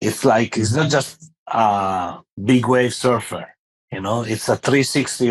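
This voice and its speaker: A man speaks with a French accent. His pitch is medium, with ordinary pitch variation. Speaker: podcast host. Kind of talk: interview. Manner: halting, many fillers.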